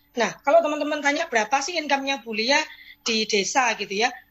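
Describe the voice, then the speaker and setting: Her pace is fairly quick. This woman's pitch variation stays ordinary. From East Java (Lamongan). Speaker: insurance agent. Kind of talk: motivational talk / testimony. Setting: video call.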